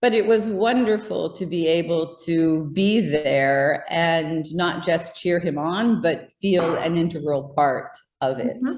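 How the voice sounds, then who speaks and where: An unremarkable speaking voice from a woman with an American accent, fairly low in pitch, with lively intonation. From United States. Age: 60s. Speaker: interviewee and English voice of meditation exercises and audio books. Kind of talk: interview answer.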